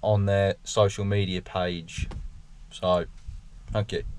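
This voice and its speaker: A man's fairly low voice comes through with a dry sound and no echo. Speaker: farmer vlogger. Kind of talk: casual vlog chat. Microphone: camera far.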